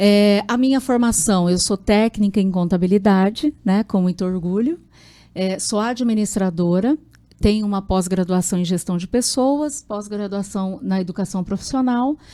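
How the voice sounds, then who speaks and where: A woman of medium pitch speaks fairly slowly in a dark, mellow tone with ordinary pitch variation, on a very clean recording with a silent background. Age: 40s. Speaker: university rector candidate. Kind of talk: interview. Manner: halting, many fillers.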